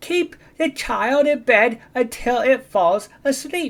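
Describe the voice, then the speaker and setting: A put-on character voice, high and squeaky, at a fairly slow pace. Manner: bouncy, eager.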